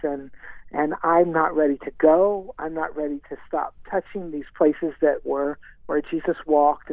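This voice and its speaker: With fairly even intonation, a man speaks in an ordinary speaking voice at a fairly high pitch. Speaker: singer songwriter. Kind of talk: radio interview.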